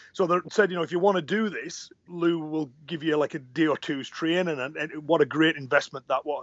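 This man has a normal speaking voice pitched fairly high, moving at a fairly quick pace with fairly even intonation and hardly any pauses. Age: 40s. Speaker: karate instructor and podcaster. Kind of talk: casual interview chat.

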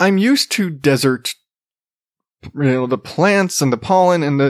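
With a Southwestern US accent, a man talks at a fairly slow pace. His intonation is lively, and the sound is dry and close with no echo. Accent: American (Southwest). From Arizona. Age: 30s. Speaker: podcast host. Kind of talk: casual monologue. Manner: halting, repeats words.

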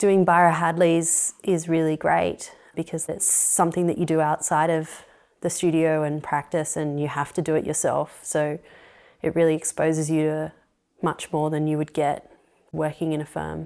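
A woman with an Australian accent speaks at a moderate pace in a very deep, low, monotone voice with flat intonation. The recording is very clean with a silent background. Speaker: architect. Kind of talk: interview. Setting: at her home.

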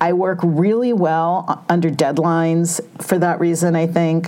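A moderate pace of speech over noticeable background noise. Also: woman. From Southern California. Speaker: beauty writer and editor. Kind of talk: interview. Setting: studio, sitting next to host.

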